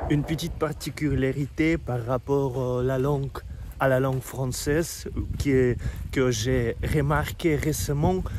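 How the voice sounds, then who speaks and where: Noticeable background noise sits under a man talking at a very slow pace. His voice is fairly high-pitched, with fairly even intonation. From Russia. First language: Russian (speaking French). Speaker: vlogger. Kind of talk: casual walking vlog. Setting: outdoors, walking. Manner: halting, with hesitations.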